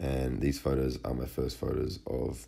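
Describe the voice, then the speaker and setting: A fairly slow pace in an Australian accent. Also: man. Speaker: fitness model and vlogger. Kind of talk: personal vlog narration. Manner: casual.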